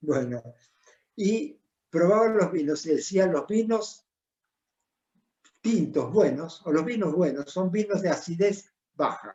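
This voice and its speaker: A man speaks in a high pitch at a very slow pace. His pitch varies in an ordinary way. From Argentina. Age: 80s+. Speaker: winemaker. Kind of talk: interview.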